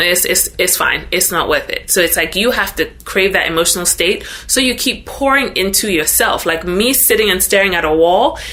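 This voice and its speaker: A woman with a Ghanaian accent at a moderate pace, her loudness very even, over noticeable background noise. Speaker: social media influencer. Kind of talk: interview podcast.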